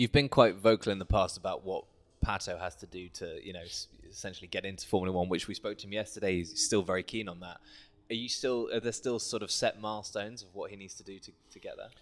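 Very fast speech comes from a man with a fairly low voice and fairly even intonation. His loudness swings widely on a very clean recording with a silent background. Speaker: podcast host. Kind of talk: interview. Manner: halting, repeats words.

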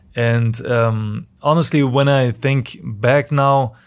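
This is a man's voice. He speaks with a German accent. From Germany. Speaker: professional soccer player. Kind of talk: interview. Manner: halting.

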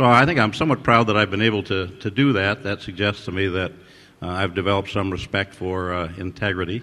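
A man with an unremarkable speaking voice talks fairly quickly at a fairly low pitch. His pitch varies in an ordinary way over a quiet background. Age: 60s. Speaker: ophthalmologist, surgeon and innovator, award honoree. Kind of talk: interview answers, reflective conversation. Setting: award ceremony with audience.

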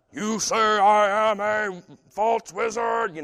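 A man's put-on character voice, high-pitched, at a very slow pace. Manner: stern, authoritative.

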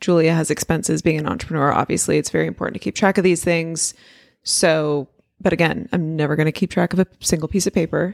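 With vocal fry and fairly even intonation, a woman talks at a very fast pace in a fairly low pitch, captured in a very clean, dry, close recording with a silent background and no echo. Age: 30s. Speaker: podcast co-host. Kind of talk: casual chat.

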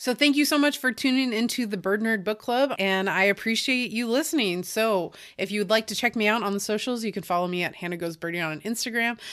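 A woman's plain, everyday voice, fairly high in pitch with ordinary pitch variation, at a fairly quick pace with hardly any pauses. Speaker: podcast host. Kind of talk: casual interview.

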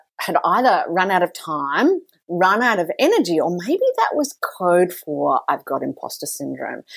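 A woman's medium-pitched voice at a moderate pace. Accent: Australian. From Australia. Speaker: mentor, speaker and author. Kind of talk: interview conversation.

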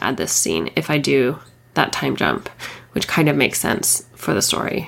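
A woman talks at a moderate pace. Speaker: fiction author and podcast host. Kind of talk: casual solo monologue. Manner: frequent fillers and laughs.

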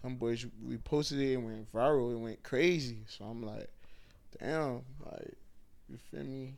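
Audible room echo surrounds a voice with an American accent. The fairly slow speech shows big swings in loudness and ordinary pitch variation. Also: man, medium pitch for a man. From Miami, Florida (Haitian family). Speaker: comedian. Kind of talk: casual interview.

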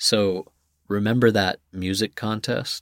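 A man with a plain, everyday voice speaks at a fairly slow pace and fairly low pitch, with ordinary pitch variation. The recording is very clean, with a silent background and a dry, close sound with no echo. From US Southwest, Santa Fe, New Mexico. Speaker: podcast host. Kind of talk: narrated essay podcast.

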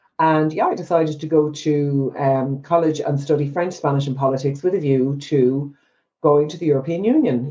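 A woman with an Irish accent speaks at a fairly quick pace. Her voice has a very deep, low pitch and a dark, mellow tone. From Ireland. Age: 50s. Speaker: psychotherapist. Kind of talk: casual interview.

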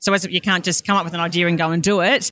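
In an Australian accent, a woman talks at a very fast pace with a fairly low pitch and a bright, sharp tone on a very clean recording with a silent background. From Australia, Brisbane. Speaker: financial planner. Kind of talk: casual interview. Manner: animated.

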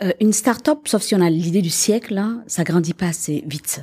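A woman with a dark, mellow, somewhat breathy tone speaks at a moderate pace and medium pitch with lively intonation, in a very clean recording with a silent background. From Quebec. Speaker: business owner. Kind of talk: interview.

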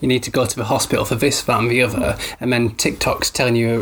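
Over noticeable background noise, a man talks at a very fast pace with a Yorkshire accent. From Yorkshire, northern England. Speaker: podcast host, new father. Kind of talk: casual chat. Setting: home, baby napping in the room.

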